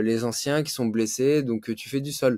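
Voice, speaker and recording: Over a quiet background, a man speaks fairly slowly in a dark, mellow tone, with dry sound and no echo. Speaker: jiu-jitsu teacher and competitor. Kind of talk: casual interview. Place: home room.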